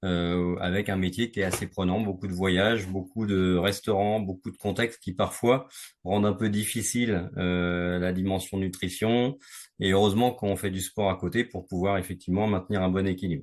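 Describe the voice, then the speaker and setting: His voice is very deep and low. This man talks at a moderate pace with fairly even intonation. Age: 60s. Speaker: sales manager sharing a fitness testimonial. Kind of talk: interview testimony. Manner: hesitant, many fillers.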